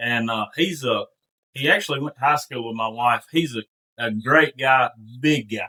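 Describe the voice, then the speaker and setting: A man talks with a Mississippi accent at a medium pitch. His tone is bright and sharp. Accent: Mississippi Southern. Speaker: duck hunter. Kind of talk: storytelling.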